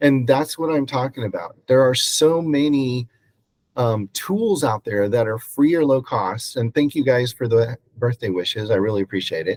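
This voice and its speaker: In an American accent, a man with medium pitch and ordinary pitch variation has an unremarkable speaking voice, recorded dry and close with no echo. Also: moderate pace. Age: 60s. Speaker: real estate agent and mentor. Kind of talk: presentation. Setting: video call.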